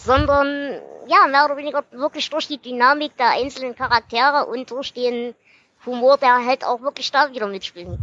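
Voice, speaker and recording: A woman's high-pitched voice, bright and sharp in tone, at a moderate pace, with a dry, close sound and no echo. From Erzgebirge, Saxony. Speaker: podcast host. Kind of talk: casual interview; book summary.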